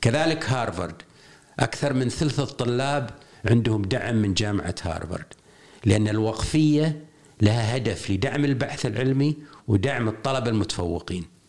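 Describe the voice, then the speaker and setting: A man with a Kuwaiti accent at a medium pitch, speaking at a fairly slow pace with ordinary pitch variation. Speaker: education consultant and writer. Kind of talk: interview.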